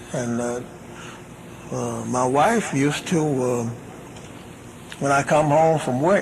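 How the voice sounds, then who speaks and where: A man talks with fairly even intonation, with audible room echo and noticeable background noise. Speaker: religious minister. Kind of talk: question and answer session. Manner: halting.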